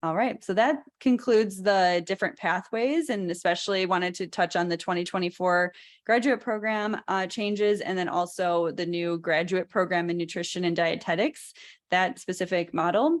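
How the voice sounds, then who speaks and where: In an American accent, a woman speaks at a moderate pace and medium pitch with ordinary pitch variation. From Chicago. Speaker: presenter explaining dietetics program applications. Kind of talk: informal explanatory presentation.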